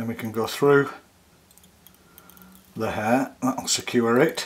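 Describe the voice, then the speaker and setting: The speaker is a man with fairly even intonation. His pace is very slow. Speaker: fly tyer. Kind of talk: fly tying tutorial narration. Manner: calm, soft-spoken. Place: studio.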